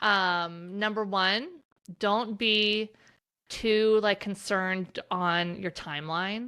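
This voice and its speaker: Recorded very cleanly against a silent background, a woman talks at a medium pitch in a bright, sharp tone with ordinary pitch variation. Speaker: pet photographer and business educator. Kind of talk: podcast interview. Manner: casual, with many fillers.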